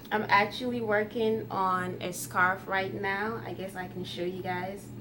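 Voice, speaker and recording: Amid noticeable background noise and audible room echo, a woman with a Ghanaian accent speaks very slowly, her pitch swinging very widely. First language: Twi. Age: 20s. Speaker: YouTuber. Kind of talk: casual vlog Q&A.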